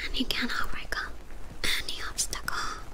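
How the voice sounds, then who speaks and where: Whispering at a fairly slow pace, the voice stays hushed throughout. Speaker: ASMR creator. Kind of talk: sleep affirmations, ASMR whisper. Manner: whispered, soft. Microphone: studio mic.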